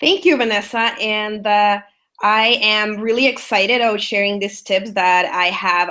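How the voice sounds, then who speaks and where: In a Salvadoran accent, a woman talks at a moderate pace in a medium pitch with ordinary pitch variation and a bright, sharp tone. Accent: Salvadoran Spanish accent, obvious. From El Salvador. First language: Spanish. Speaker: business strategist. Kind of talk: webinar presentation. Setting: online webinar.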